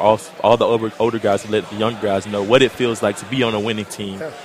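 With noticeable background noise behind him, a man with a fairly low pitch talks at a very fast pace using fairly even intonation. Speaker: college football player. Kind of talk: interview.

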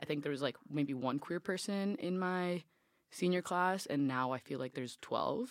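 This woman has an American accent and a very deep, low pitch. She talks at a moderate pace. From Miami, Florida. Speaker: college student. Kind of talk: casual group discussion.

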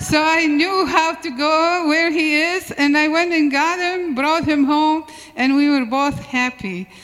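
A woman's high-pitched voice with ordinary pitch variation at a fairly slow pace, plus audible room echo and noticeable background noise. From Syria. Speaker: church member. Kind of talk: testimony. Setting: church. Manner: halting.

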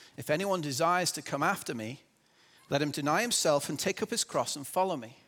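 Bright, sharp tone at a fairly quick pace with lively intonation, in a very clean recording with a silent background. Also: man. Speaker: church speaker giving a sermon. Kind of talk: sermon. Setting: church with congregation.

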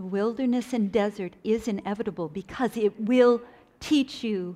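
A woman with an unremarkable speaking voice talks at a fairly slow pace and fairly high pitch, with ordinary pitch variation. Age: 60s. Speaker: conference speaker. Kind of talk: sermon.

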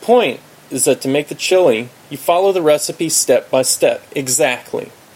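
A man speaks at a fairly high pitch against noticeable background noise. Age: 40s. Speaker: self-help author. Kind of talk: audiobook narration.

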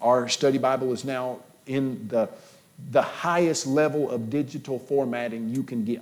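An unforced reading voice carries this passage.

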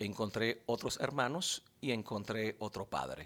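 On a very clean recording with a silent background, a man with a plain, everyday voice speaks at a fairly slow pace and a medium pitch. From Dominican Republic. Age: 40s. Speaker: pastor. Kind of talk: interview testimony.

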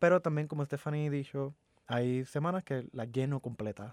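Recorded dry and close with no echo against a silent background in a very clean recording, a man with an unremarkable speaking voice talks at a moderate pace and fairly high pitch. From Puerto Rico. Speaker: community advocate and shooting survivor. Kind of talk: interview. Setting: studio.

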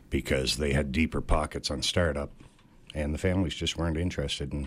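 Fairly quick and fairly even in intonation, a man speaks with a very deep, low pitch and vocal fry. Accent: Cape Breton. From Cape Breton Island, Nova Scotia. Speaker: boat owner. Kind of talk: casual chat.

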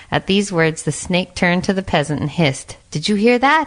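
A woman has an unremarkable speaking voice at a medium pitch. Her intonation is lively. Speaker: narrator. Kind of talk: fairy-tale narration.

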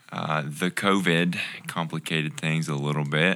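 Noticeable background noise accompanies a man's voice. His pitch is very deep and low, with ordinary variation. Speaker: podcast guest, ministry intern. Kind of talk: casual.

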